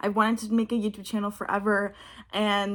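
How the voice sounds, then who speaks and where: In an American accent, a woman with an unremarkable speaking voice talks at a moderate pace and a fairly high pitch on a very clean recording with a silent background. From Texas. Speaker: vlogger and aspiring actress. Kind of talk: casual talk to camera.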